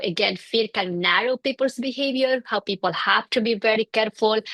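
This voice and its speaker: A woman speaks with a Bolivian accent at a fairly high pitch and ordinary pitch variation. The sound is dry and close, with no echo. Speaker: clinical psychologist. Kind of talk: interview. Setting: in person with host.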